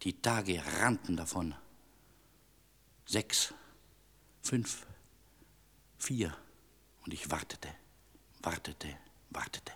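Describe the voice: Putting on a character voice, a man speaks at a very slow pace in a low pitch with a fairly bright tone, a slightly husky edge, ordinary pitch variation and long, frequent pauses.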